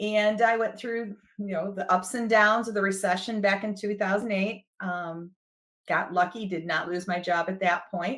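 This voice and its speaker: A woman speaks with a Midwestern accent. Her pace is moderate and her intonation fairly even. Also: medium pitch for a woman. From US Midwest. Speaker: HR director. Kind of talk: podcast interview.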